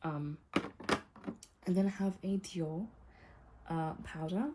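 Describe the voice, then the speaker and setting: The voice has a dark, mellow tone in a British accent. It is somewhat breathy. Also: woman. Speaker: beauty vlogger. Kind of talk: casual talk to camera. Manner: pauses often.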